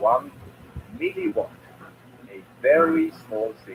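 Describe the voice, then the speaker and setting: A man with a Swiss accent speaks over noticeable background noise. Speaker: electronics YouTuber. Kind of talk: tutorial.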